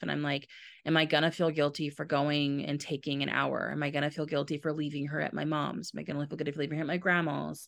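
A woman's very deep, low voice with vocal fry, monotone and flat in intonation, at a fairly quick pace, in a very clean recording with a silent background. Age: 30s. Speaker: nonprofit founder, mother. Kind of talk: casual interview.

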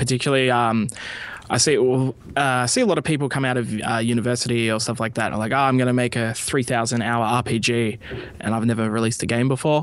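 Fairly quick speech comes from a man with an Australian accent. His intonation stays fairly even. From rural Australia. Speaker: indie game publishing community manager. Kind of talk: casual interview. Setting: Skype call.

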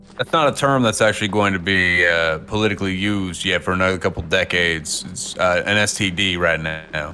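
A man with a very deep, low voice talks at a fairly quick pace with hardly any pauses and ordinary pitch variation. Background noise is noticeable. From Canada. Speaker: tabletop game player. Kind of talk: actual play tabletop game.

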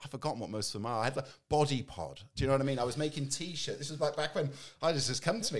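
Speaking very fast, a man has a fairly high, somewhat breathy voice with ordinary pitch variation. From England. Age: 40s. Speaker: entrepreneur. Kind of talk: casual interview chat.

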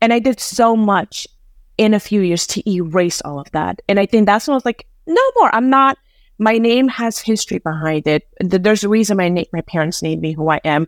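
A woman's plain, everyday voice in an American accent, medium in pitch and fairly quick, dry and close with no echo, very clean recording with a silent background. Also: lively intonation. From Afghanistan, raised in the US. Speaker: HR professional. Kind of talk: interview conversation.

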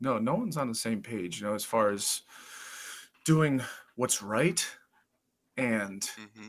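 Fairly slow pace, ordinary pitch variation, and long, frequent pauses. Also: man, medium pitch for a man. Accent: Midwestern American. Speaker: podcast co-host, amateur cage fighter. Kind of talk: casual chat. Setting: home basement.

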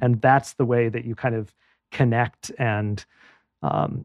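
With an American accent and an unremarkable speaking voice, a man speaks at medium pitch and a fairly slow pace. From US Midwest, Madison, Wisconsin. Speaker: tech entrepreneur and author. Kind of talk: interview.

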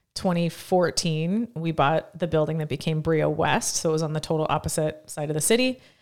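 A woman talks with a very deep, low pitch and ordinary pitch variation. Her pace is fairly quick, with hardly any pauses. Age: 30s. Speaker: gym owner and podcast co-host. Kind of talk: casual chat.

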